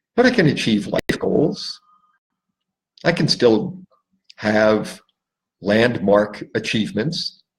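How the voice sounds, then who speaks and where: Speaking at a very slow pace with long, frequent pauses, a man sounds somewhat breathy as his pitch swings very widely. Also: medium pitch for a man. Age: 60s. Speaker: life coach. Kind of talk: solo talk to camera. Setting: Facebook live stream.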